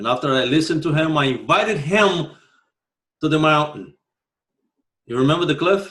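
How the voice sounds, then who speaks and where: A man with a strong Brazilian accent speaks at a moderate pace in a fairly high voice, with long, frequent pauses. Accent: heavy Brazilian Portuguese. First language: Portuguese. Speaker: martial arts instructor. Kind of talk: podcast monologue. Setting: home living room. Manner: many filler words. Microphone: pretty good microphone.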